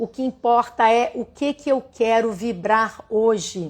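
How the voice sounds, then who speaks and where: Speaking very slowly, a woman has a warm tone. Her pitch is fairly high. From Rio de Janeiro, Brazil. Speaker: holistic therapist and writer. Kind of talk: livestream spiritual talk. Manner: warm, conversational.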